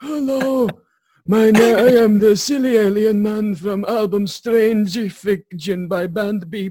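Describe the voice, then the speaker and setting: A man puts on a character voice with a high pitch. He delivers it at a fairly slow pace. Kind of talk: pensioner describing an album. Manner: senile.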